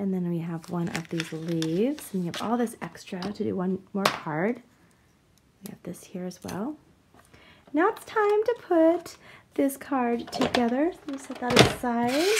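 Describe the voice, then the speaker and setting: Over noticeable background noise, a soft-spoken woman with a fairly high pitch speaks at a fairly slow pace, her loudness swinging widely and her pitch swinging very widely. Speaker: card-making crafter. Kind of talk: tutorial. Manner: soft-spoken today; talking softly.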